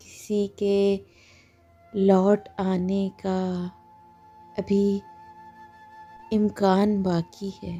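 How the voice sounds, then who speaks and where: Music sits in the background behind a woman's voice. She speaks at a medium pitch with monotone, flat intonation. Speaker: poetry reciter. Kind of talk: poetry reading.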